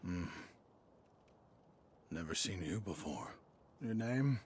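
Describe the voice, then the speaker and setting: A man in a put-on character voice at a fairly slow pace. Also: fairly low pitch for a man, lively intonation. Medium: video game. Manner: courteous, amused.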